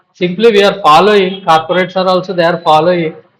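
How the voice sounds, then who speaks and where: Pitched high, a man's voice keeps a fairly even intonation. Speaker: professor. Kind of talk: panel discussion.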